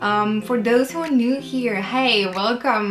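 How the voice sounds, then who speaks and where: With a French accent, a woman talks at a moderate pace with ordinary pitch variation, over noticeable background noise and audible room echo. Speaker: writer and lifestyle vlogger. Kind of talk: casual vlog monologue. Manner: casual with frequent fillers.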